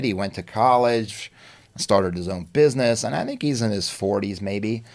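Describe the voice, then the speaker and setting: At a moderate pace, a man speaks in a fairly low pitch with ordinary pitch variation, on a very clean recording with a silent background. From New York, Long Island. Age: 60s. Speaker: artist and musician. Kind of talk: interview. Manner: animated.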